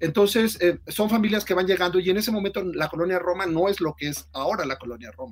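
Over noticeable background noise, the speech runs at a very fast pace with hardly any pauses. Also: man, high pitch for a man, ordinary pitch variation. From Mexico City. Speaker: novelist. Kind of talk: interview.

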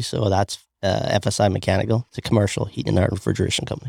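Recorded dry and close with no echo, a man talks at a very fast pace in a fairly low pitch with vocal fry. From Northern Ireland, Belfast. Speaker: small business owner and inventor. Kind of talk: casual interview.

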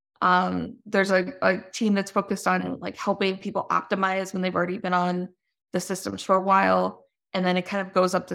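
In a very clean recording with a silent background, a woman talks at a medium pitch. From US, moved around as Navy child. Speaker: business founder and CEO. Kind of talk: interview. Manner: frequent fillers, conversational.

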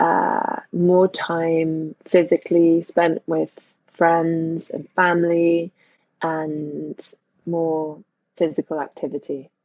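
In a London accent, a woman speaks at a very slow pace with a fairly low pitch and monotone, flat intonation. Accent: British, near-RP London. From Northwest London. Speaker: actress. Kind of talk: casual interview chat.

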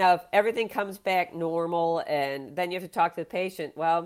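A woman's fairly low voice, an unremarkable speaking voice, at a fairly quick pace with ordinary pitch variation, in a very clean recording with a silent background. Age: 60s. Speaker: plastic surgeon. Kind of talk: interview.

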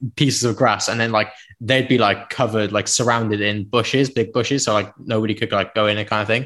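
A man's fairly low, monotone voice with flat intonation, at a very fast pace. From South Wales, Penarth near Cardiff. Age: 20s. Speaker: musician. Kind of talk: casual interview chat. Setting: video call.

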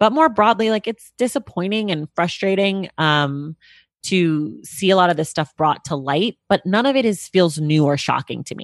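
A woman with an American accent talks at a moderate pace in an ordinary speaking voice, fairly low in pitch, with lively intonation. The sound is dry and close with no echo, over a quiet background. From California, Bay Area. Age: 30s. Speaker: podcast host and book commentator. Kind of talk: casual interview chat. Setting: remote video call.

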